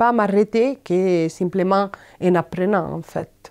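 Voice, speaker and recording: A woman with an Italian accent speaks very slowly in a medium pitch with ordinary pitch variation. Her tone is dark and mellow. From Italy. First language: Italian (speaking French). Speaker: migrant volunteer. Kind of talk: personal testimony interview. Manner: halting, many hesitations.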